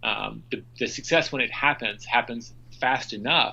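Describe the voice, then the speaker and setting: A man speaks with a bright, sharp tone. Vocal fry runs through his voice. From Memphis, Tennessee. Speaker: author and business executive. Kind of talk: interview answer.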